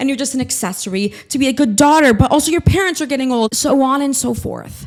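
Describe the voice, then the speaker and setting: In an animated tone, a woman speaks at a very fast pace with a high pitch and ordinary pitch variation. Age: 20s. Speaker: vlogger. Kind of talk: casual monologue vlog.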